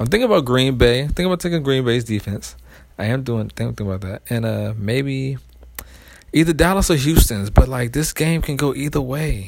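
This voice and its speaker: A man with an American accent speaks at a moderate pace in an ordinary speaking voice, with medium pitch and lively intonation, on a very clean recording with a silent background. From Washington DC area. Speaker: fantasy football podcaster. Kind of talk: casual solo monologue. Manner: laid-back, conversational with many fillers.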